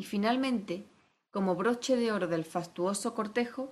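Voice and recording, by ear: Reading aloud in a natural voice, the speaker keeps ordinary pitch variation against a quiet background.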